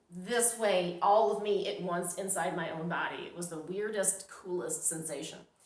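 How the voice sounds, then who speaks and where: A woman speaks at a moderate pace with ordinary pitch variation amid noticeable background noise. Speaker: psychic medium. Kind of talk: casual talk to camera.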